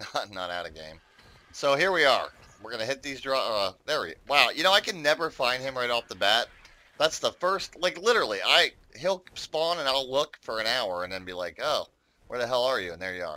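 A man's fairly high voice with an American accent, very wide pitch swings and a fairly quick pace. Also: big swings in loudness. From United States. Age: 50s. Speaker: gaming YouTuber. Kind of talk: gameplay commentary. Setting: home recording. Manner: casual, rambling with many fillers.

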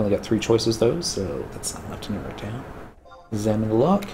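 A man speaks at a fairly quick pace in a fairly low pitch, with a dark, mellow tone, vocal fry, big pitch swings and audible room echo.

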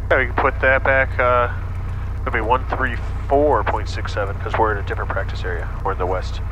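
A man talks at a fairly quick pace with a dry sound and no echo, over light background noise. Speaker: flight instructor. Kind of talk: instruction. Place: plane. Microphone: headset.

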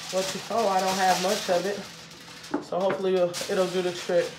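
A fairly slow pace of speech against noticeable background noise. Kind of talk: cooking tutorial. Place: kitchen. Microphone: phone near.

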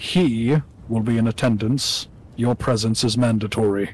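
Here a man uses a put-on character voice. His pitch is medium, and his pace is moderate. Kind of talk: tabletop roleplay in character. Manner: calm, formal, measured.

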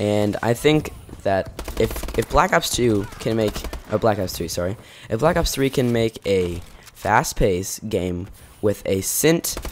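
Against noticeable background noise, a man with a fairly low pitch speaks with lively intonation. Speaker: gaming YouTuber. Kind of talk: casual gaming commentary.

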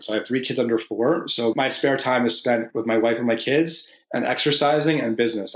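Talking at a fairly quick pace, a man with an American accent has a plain, everyday voice, medium pitch, and ordinary pitch variation. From New Jersey. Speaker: company CEO. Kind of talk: interview.

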